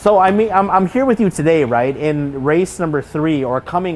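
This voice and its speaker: Lively intonation marks this man's unremarkable speaking voice, delivered in an American accent at a moderate pace. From California. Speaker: interviewer. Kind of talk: casual interview. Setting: race circuit.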